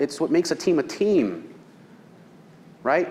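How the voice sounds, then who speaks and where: At a moderate pace, a man talks in a fairly high pitch with a plain, everyday voice. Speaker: real estate seminar presenter. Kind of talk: seminar lecture.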